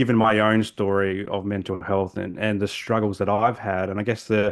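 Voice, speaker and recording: A man with an Australian accent, a fairly low pitch, monotone, flat intonation and a moderate pace, against a quiet background. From South Australia, Adelaide. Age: 40s. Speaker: social worker. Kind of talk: podcast interview. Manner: halting, many repetitions and fillers.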